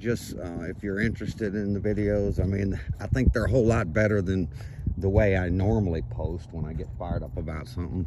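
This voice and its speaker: A man with a very deep, low voice talks at a fairly quick pace with lively intonation. The sound is dry with no echo, over light background noise. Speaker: vlogger. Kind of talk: casual vlog chat. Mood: reflective, upbeat. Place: waterside. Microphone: phone near.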